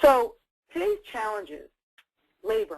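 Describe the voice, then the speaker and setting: With a New York accent, a woman speaks at a high pitch with very wide swings. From US Northeast, New York City. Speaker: dietitian and food service consultant. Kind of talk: webinar presentation. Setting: webinar.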